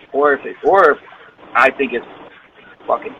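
Against noticeable background noise, a man with an American accent speaks at a fairly quick pace. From Bowling Green, Ohio (near Toledo). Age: 30s. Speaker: rapper. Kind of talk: interview.

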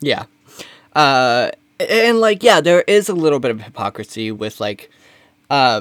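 In an American accent, a man speaks with very wide pitch swings. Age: 20s. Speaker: comedy podcast co-host. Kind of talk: casual chat.

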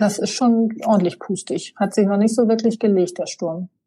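A woman's dark, mellow, somewhat breathy tone with fairly even intonation. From North Frisia, Hallig Hooge (northern Germany). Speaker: island gallery owner and holiday landlord. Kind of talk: casual interview.

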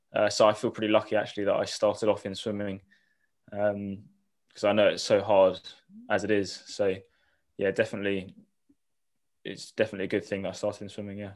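The man speaks at a fairly quick pace with a southern English accent, leaving long, frequent pauses. The recording is very clean with a silent background. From southern England, Eastbourne. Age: 20s. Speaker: triathlete and university student. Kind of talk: casual interview.

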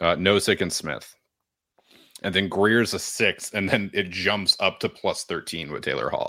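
The recording is very clean, with a silent background. Speech comes at a fairly slow pace in an American accent. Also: man. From New Hampshire, US. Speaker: podcast host. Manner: joking, sarcastic.

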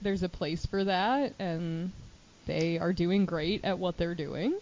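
A woman with an American accent has an unremarkable speaking voice. Her pitch sits in the medium range. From Chicago suburbs, Illinois. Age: 20s. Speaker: podcast co-host, counselor. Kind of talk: casual chat.

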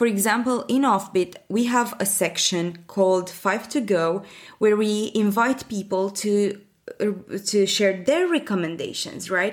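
A woman with a Romanian accent, medium in pitch with ordinary pitch variation, very even in loudness, at a fairly slow pace. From Romania, Bucharest. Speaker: learning and development professional, newsletter founder. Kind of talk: interview.

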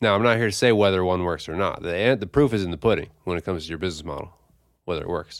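The recording is very clean, with a silent background. A man with a very deep, low voice talks very fast, his pitch varying in an ordinary way. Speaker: podcast co-host, coffee shop owner. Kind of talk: casual chat.

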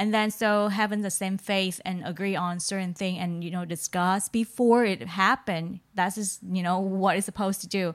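A woman with a Vietnamese accent talks with hardly any pauses and fairly even intonation, in a very clean recording with a silent background. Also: medium pitch for a woman, moderate pace. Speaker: podcast co-host. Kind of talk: casual chat.

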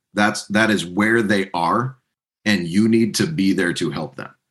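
A man's plain, everyday voice, fairly low in pitch, with lively intonation and a moderate pace. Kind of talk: casual interview chat.

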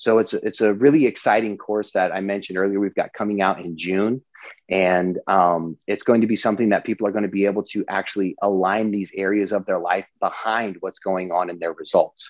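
With an American accent, a man in an ordinary speaking voice talks at a fairly quick pace and a fairly low pitch, keeping his intonation fairly even and hardly pausing. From US Pacific Northwest (Eastern Washington). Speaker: entrepreneur and business coach. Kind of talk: interview. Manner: casual with many fillers.

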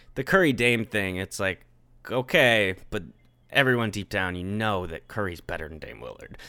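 A man's bright, sharp, fairly low voice at a moderate pace, with ordinary pitch variation, big swings in loudness, and a very clean recording with a silent background. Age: 20s. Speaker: podcast host. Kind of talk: casual chat.

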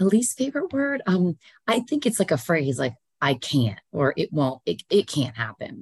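A somewhat breathy voice with very wide pitch swings, dry and close with no echo. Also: woman. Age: 40s. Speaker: relationship coach and counselor. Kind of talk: casual interview chat.

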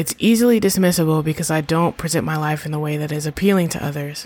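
Her pitch very deep and low, a woman talks at a fairly quick pace. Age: 30s. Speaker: podcast host. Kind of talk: solo reflective monologue.

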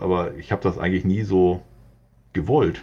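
A man with a very deep, low voice, a dark, mellow tone and vocal fry. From Hamburg, northern Germany. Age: 40s. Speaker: graffiti artist. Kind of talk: interview. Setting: remote internet recording.

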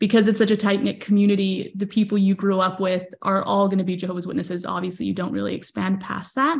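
A woman's somewhat breathy, medium-pitched voice at a fairly quick pace. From moved to US as a child. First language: not English. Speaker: social media marketer and content creator. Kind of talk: casual chat. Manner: many fillers, halting.

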